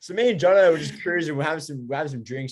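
A man with an Australian accent and ordinary pitch variation, against a quiet background. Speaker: rock guitarist. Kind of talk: casual chat.

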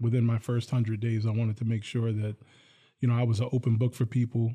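This man has an American accent and a dark, mellow tone, somewhat breathy and delivered in a flat monotone. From northern New Jersey, Bergen County. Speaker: college police chief, retired city police major. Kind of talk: radio interview.

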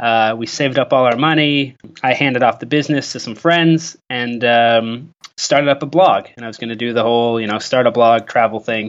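This man uses a plain, everyday voice at a fairly quick pace. Medium in pitch, it varies in an ordinary way. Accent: Canadian. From Canada, rural. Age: 30s. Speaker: travel blogger and community manager. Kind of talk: interview. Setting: remote call.

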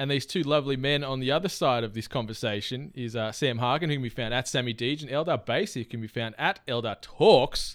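Talking very fast with hardly any pauses, a man with an Australian accent uses ordinary pitch variation. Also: medium pitch for a man. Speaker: podcast host. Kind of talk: casual chat.

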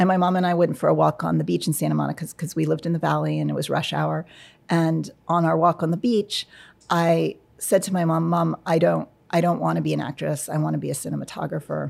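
A woman talks at a very fast pace on a very clean recording with a silent background. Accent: American. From New York, US. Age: 40s. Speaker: cinematographer. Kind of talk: interview. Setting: studio.

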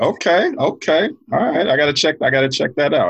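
Very fast speech from a man with a New York accent. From Queens, New York. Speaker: basketball coach. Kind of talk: casual chat.

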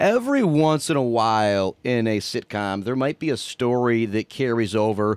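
In a plain, everyday voice, a man speaks at a medium pitch and moderate pace with ordinary pitch variation and hardly any pauses, the sound dry and close with no echo on a very clean recording with a silent background. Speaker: radio station staffer and sports announcer. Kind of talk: casual chat.

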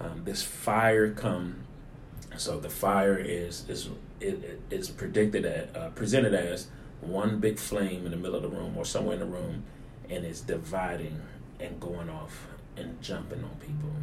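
A man's fairly low, lively voice at a moderate pace over noticeable background noise. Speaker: pastor. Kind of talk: sermon-style teaching in conversation.

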